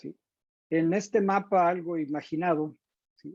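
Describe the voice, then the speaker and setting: A man with a high pitch and a dark, mellow tone speaks with ordinary pitch variation in a dry, close sound with no echo. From Mexico. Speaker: teacher educator. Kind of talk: lecture. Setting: video call.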